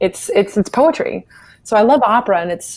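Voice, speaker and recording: Here is a woman talking. She has an American accent. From US South, South Carolina. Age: 30s. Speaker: opera and art song singer. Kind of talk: interview.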